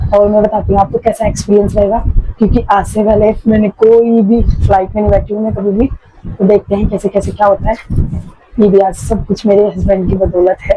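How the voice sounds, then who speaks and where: Over noticeable background noise, the voice moves at a moderate pace in a monotone, flat intonation. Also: woman. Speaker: vlogger. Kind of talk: casual vlog.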